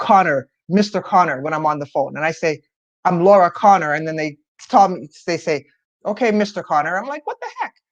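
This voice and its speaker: A woman speaks in an animated tone with a fairly low pitch and ordinary pitch variation. The sound is dry and close, with no echo. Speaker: video coach. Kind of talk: live stream talk. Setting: live video stream.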